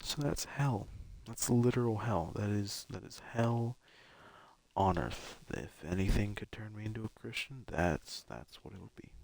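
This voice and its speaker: Quiet and fairly low-pitched, a man speaks at a fairly slow pace with ordinary pitch variation and big swings in loudness. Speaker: game streamer. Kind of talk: casual live stream commentary. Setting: live stream. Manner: halting.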